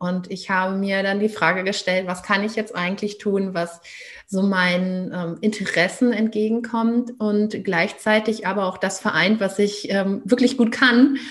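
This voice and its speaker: A woman with a plain, everyday voice, medium in pitch, fairly slow in pace and fairly even in intonation. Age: 30s. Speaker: parenting coach. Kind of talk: interview.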